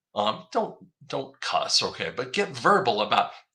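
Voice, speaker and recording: Here a man speaks with a Midwestern accent. His pace is moderate. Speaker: online commentator on finance. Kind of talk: casual monologue video. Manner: halting with many fillers and repetitions. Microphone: audio problems mentioned.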